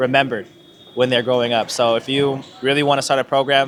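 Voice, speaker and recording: Noticeable background noise surrounds a man with a medium pitch talking at a fairly quick pace. His intonation stays monotone and flat. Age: young (18). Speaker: youth basketball club founder and coach. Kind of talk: interview.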